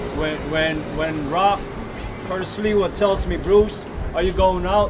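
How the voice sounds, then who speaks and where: With an American accent, a man talks at a fairly slow pace in a high voice with ordinary pitch variation, amid noticeable background noise and audible room echo. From New York City. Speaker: volunteer street patrol leader. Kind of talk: press conference.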